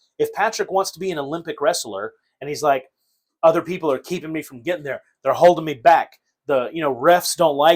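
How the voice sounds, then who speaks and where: Animated in tone, a man talks at a fairly quick pace in a fairly high pitch on a very clean recording with a silent background. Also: ordinary pitch variation, big swings in loudness. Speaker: podcast host. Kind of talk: casual chat.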